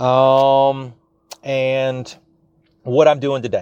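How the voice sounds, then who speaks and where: A man speaks in a Louisiana accent at medium pitch. The sound is dry and close, with no echo. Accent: Louisiana Southern US, noticeable. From South Louisiana, US. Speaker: small business coach and podcast host. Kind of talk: solo podcast monologue, business advice. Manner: chatty, digressive, casual.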